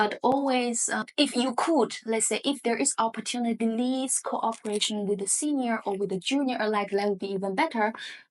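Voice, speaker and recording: A woman speaks at a fairly quick pace with a fairly high pitch. Her pitch variation is ordinary, and the background is quiet. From southern China. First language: Hakka. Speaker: economics professor. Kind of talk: podcast interview. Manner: hesitant, many fillers.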